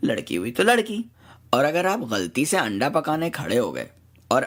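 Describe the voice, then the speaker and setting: A man speaks in a normal speaking voice with lively intonation. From Karachi, Pakistan. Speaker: blogger, satire writer. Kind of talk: humorous satirical essay reading.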